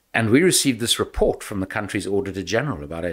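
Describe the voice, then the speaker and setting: A man with a South African accent talks at a fairly low pitch in a very clean recording with a silent background. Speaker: former politician and anti-corruption investigator. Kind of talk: podcast interview.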